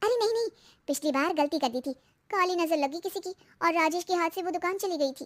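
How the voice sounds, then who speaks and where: A cartoonish character voice from a woman, extremely high in pitch and very fast, with a dry, close sound and no echo. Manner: excitable, chatty.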